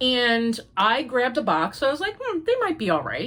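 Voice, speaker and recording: This woman has a fairly high pitch and some vocal fry. She talks at a moderate pace with very wide pitch swings. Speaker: crochet podcaster. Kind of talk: casual chat. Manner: chatty.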